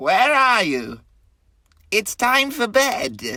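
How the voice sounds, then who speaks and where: In a put-on character voice, a woman speaks at a fairly high pitch on a very clean recording with a silent background. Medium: read story.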